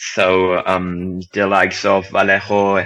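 A man's fairly low voice with a bright, sharp tone and a German accent. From Germany. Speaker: football writer. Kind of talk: casual chat.

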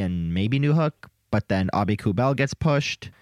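The recording is very clean with a silent background, the sound dry and close with no echo. A man speaks in a medium pitch at a moderate pace. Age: 20s. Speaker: podcast co-host and hockey writer. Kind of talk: casual chat. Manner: excitable, enthusiastic.

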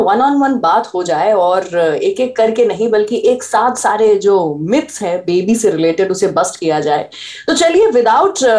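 This is a woman with a fairly high pitch. She has an ordinary speaking voice. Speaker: radio host and parenting podcaster. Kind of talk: casual interview.

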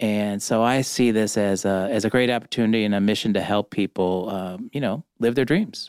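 In a very clean recording with a silent background and a dry, close sound with no echo, a man with an American accent uses a normal speaking voice at a fairly low pitch, speaking at a moderate pace with fairly even intonation. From Cleveland, Ohio. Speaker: media executive, former newspaper editor. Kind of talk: interview. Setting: studio.

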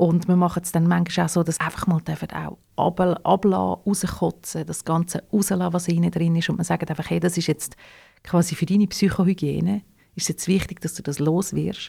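A woman in a Swiss accent, fairly low-pitched with vocal fry and a dark, mellow tone, monotone and flat, at a moderate pace on a very clean recording with a silent background. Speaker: radio host and founder of audio legacy project. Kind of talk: interview conversation.

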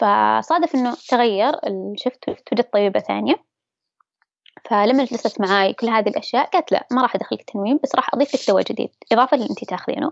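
A woman speaks in a high pitch at a fairly quick pace. Her intonation is lively. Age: 20s. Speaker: interviewee sharing mental health experience. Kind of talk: personal testimony.

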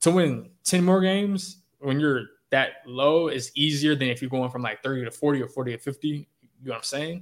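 In an unremarkable speaking voice, a man talks at a fairly quick pace with an American accent. His pitch is fairly high, with ordinary variation. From Chicago. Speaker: sports beat writer. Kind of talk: podcast interview.

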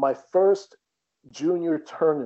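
Male speech with ordinary pitch variation. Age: 40s. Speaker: tennis coach. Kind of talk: interview.

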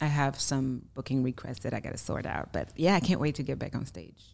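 Speaking at a moderate pace, a woman with a very deep, low pitch shows ordinary pitch variation on a very clean recording with a silent background. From Germany. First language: German. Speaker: singer-songwriter. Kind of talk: casual interview chat.

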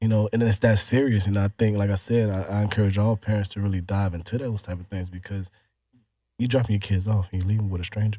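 A man's fairly low, dark and mellow voice with an American accent, somewhat breathy, in a monotone, flat intonation at a very fast pace. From Chicago, Illinois. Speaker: former teacher and dog breeder. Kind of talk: casual interview. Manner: hesitant, many fillers.

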